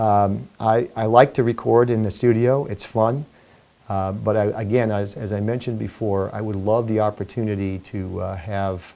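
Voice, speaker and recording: A man's fairly low, dark, mellow voice with an American accent, at a moderate pace and with fairly even intonation. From New York, Brooklyn and Long Island. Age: 60s. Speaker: singer and entertainer, retired Marine. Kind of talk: interview. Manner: halting.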